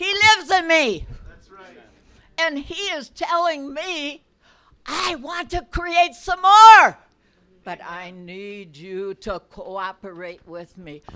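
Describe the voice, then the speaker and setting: A woman speaks in a raised, projected voice at high pitch with a bright, sharp tone, her pitch swinging very widely and her loudness in big swings. She talks at a very slow pace with long, frequent pauses. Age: 80s+. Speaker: church member. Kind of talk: testimony. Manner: animated.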